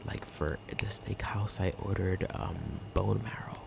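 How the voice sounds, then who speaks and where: Relaxed whispering over noticeable background noise. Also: man. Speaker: ASMR content creator. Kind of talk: casual soft-spoken ramble to camera. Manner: soft-spoken, whispery, relaxed.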